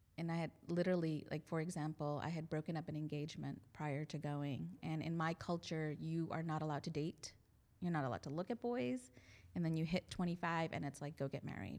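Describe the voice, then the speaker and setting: The speaker is a woman with an American accent. Her pitch is very deep and low, with ordinary variation. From New Jersey, Indian family. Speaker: pharmacist, church member. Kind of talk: interview, personal story.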